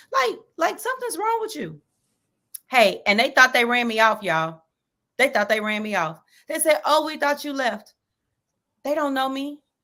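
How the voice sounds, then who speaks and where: A woman's raised, projected voice in a strong Texan accent, animated with a bright, sharp tone, high pitch and very wide pitch swings, at a moderate pace with long, frequent pauses. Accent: Texas accent, strong. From Texas. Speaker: sports podcast host. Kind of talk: casual chat.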